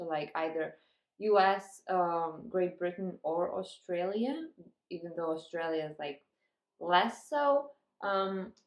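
Fairly low-pitched woman at a fairly slow pace, with audible room echo against a quiet background. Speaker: book vlogger. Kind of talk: casual vlog chat. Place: home room.

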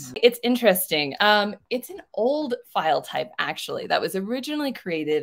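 At a moderate pace, a woman with a normal speaking voice talks using lively intonation. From US, partly raised in Mexico. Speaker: online ESL teacher. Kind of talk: tutorial.

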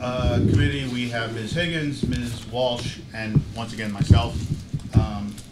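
A man at a fairly slow pace amid loud background noise. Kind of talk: meeting chairing remarks. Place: meeting room. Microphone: podium.

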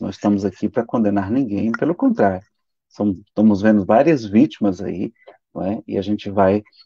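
A man with a fairly low voice and a dark, mellow tone speaks at a moderate pace, recorded with a dry sound and no echo. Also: quiet background. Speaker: spiritist lecturer. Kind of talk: lecture. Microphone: video call.

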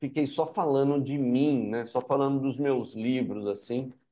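A man's fairly high voice comes through against a quiet background. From Americana, interior of São Paulo state, Brazil. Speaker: novelist and journalist. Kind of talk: interview.

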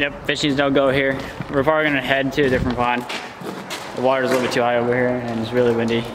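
A fast-paced man at a medium pitch with little pitch movement, over clear background noise

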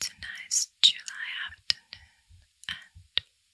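Whispering, a woman speaks in a breathy voice. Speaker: ASMR creator. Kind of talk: soft-spoken ASMR talk. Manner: soft, breathy close-mic ASMR voice. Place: home room. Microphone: studio mic.

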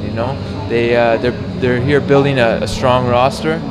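Noticeable background noise sits under this recording. A man talks at a moderate pace with ordinary pitch variation. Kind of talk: interview answer. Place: hall.

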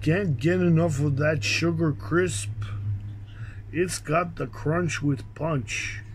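Very slowly paced speech sits over light background noise. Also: man. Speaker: vlogger. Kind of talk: casual vlog chat. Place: garden. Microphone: phone near.

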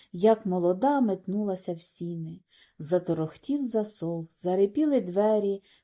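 Reading aloud in a natural voice, this speaker uses lively intonation against a quiet background.

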